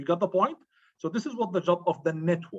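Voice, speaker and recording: A man speaks very fast in a high voice, his pitch swinging very widely. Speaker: IT instructor. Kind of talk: online lecture.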